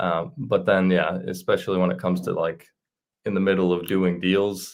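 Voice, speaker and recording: A man's very deep, low voice at a moderate pace. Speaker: sports card dealer. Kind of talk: casual interview. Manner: monotone; calm.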